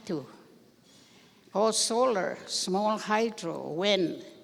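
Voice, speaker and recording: A woman talks at a very slow pace. Her voice has vocal fry. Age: 80s+. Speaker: elder speaker. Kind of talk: speech at ceremony.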